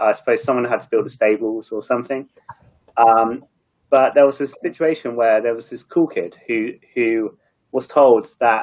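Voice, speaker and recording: With an English accent, a man talks fairly quickly at medium pitch and with fairly even intonation. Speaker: marketing leader. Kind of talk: panel discussion. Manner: fast; mumbling.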